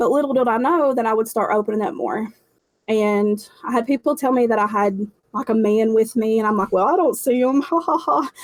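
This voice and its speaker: A woman with an Appalachian accent talks at a fairly quick pace, her fairly high pitch carried by lively intonation. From Appalachia, southwest Virginia. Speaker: intuitive healer, paranormal investigator. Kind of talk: interview answer. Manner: casual, candid.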